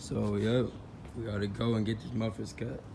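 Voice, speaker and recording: This man has a dark, mellow tone and fairly even intonation. He speaks at a moderate pace over light background noise. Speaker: car enthusiast vlogger. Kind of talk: casual vlog chat. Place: street. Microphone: phone near.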